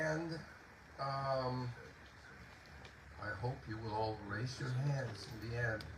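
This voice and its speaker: With audible room echo and noticeable background noise, a man at medium pitch speaks at a very slow pace, leaving long, frequent pauses. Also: ordinary pitch variation. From Puerto Rico. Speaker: composer and poet. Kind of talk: concert introduction talk. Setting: outdoor concert in a garden. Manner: halting.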